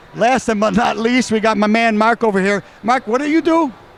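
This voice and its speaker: Over noticeable background noise, a man with an American accent speaks at a high pitch in an animated tone with lively intonation. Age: 60s. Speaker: car show host and car builder. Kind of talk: casual interview. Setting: indoor car show.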